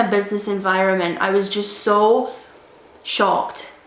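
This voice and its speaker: At a fairly slow speed, a woman talks while noticeable noise sits in the background. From Scotland. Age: 20s. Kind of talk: casual storytime talk to camera.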